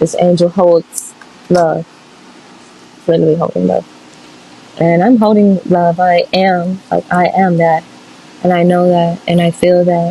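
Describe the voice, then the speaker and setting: A woman's fairly low, flat monotone with an American accent, fairly slow pace, long and frequent pauses, very even loudness, and noticeable background noise. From US South, Louisiana (Monroe). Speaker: tarot reader, spiritual channeler. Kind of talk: casual spiritual reading monologue. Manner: casual, halting with filler words.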